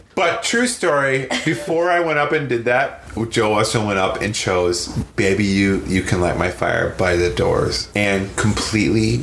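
Against noticeable background noise and audible room echo, a man with an American accent speaks at a moderate pace and fairly low pitch. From northern Wisconsin, US Midwest. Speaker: musician and record producer. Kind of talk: casual chat.

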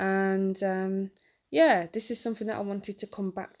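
A woman's dark, mellow tone at a moderate pace, with fairly even intonation, in a very clean recording with a silent background. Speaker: podcast host and writer. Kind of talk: unscripted solo monologue. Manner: halting, with fillers.

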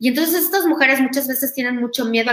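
Ordinary pitch variation amid noticeable background noise. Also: woman. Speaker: podcast host and university lecturer. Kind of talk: talk to students. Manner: halting, many fillers.

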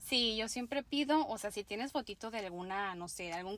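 With a normal speaking voice, a woman talks at a fairly quick pace and medium pitch in a very clean recording with a silent background. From Mexico, Tijuana, Baja California. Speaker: makeup artist. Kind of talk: casual interview chat.

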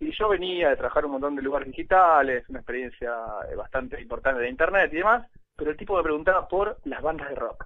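Speech rushes by at a very fast pace. The intonation is lively. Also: man, high pitch for a man. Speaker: former social network employee. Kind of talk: interview.

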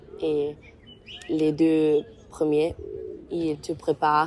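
A woman speaks at a very slow pace with a very deep, low pitch over noticeable background noise. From Germany, Mainz. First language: German (speaking French). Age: 20s. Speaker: university student. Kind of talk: interview. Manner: halting.

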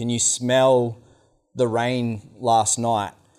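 At a very slow pace, a man with an Australian accent speaks at medium pitch. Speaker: outdoor educator. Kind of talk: workshop instruction. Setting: meeting hall with microphone.

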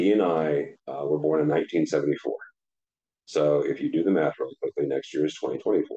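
The speech, in an American accent, moves along at a moderate speed. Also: man. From US Midwest (St. Louis, Missouri). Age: 40s. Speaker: podcaster and tech blogger. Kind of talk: casual chat. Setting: studio.

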